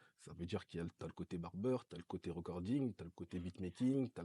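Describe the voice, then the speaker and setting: The speaker talks at a very fast pace in a somewhat breathy voice with ordinary pitch variation, recorded very cleanly against a silent background with a dry, close sound and no echo. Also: man. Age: 20s. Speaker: recording studio owner, entrepreneur. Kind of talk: casual interview chat.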